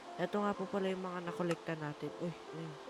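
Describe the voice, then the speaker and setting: Noticeable background noise sits under the voice. A soft-spoken speaker keeps a moderate pace. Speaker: gaming youtuber. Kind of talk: gameplay commentary. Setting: living room at home.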